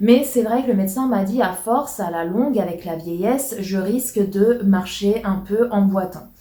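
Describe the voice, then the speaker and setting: A woman talks at a fairly slow pace with medium pitch and ordinary pitch variation, hardly pausing at all. Noticeable background noise sits behind her. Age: 30s. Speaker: YouTuber. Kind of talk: casual chat. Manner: hesitant, many fillers.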